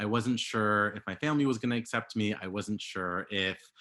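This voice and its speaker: A man with an American accent talks at a moderate pace, his pitch fairly low with ordinary variation. His tone is bright and sharp, over a quiet background. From Los Angeles, US. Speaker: panelist. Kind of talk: personal testimony.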